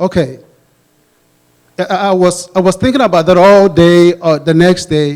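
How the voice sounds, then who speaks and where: A man with a Ghanaian accent and a high pitch, ordinary pitch variation, a moderate pace, and long, frequent pauses. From Ghana, West Africa. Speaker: pastor, audience questioner. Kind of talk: audience Q&A question. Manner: halting, many restarts.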